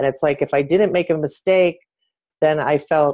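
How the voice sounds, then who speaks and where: A woman with a General American accent talks at a moderate pace. Her pitch is very deep and low, her intonation fairly even. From US, San Francisco area. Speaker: author and former swimmer, journalist. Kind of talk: casual interview chat.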